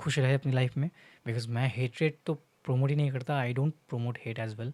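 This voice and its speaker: A man speaks with a Bengali accent at medium pitch, with ordinary pitch variation and a moderate pace. The sound is dry and close with no echo, on a very clean recording with a silent background. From India, Bengal. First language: Bengali (speaking Hindi). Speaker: content creator. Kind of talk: casual vlog monologue. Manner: halting, many fillers, Hindi-English code-switching.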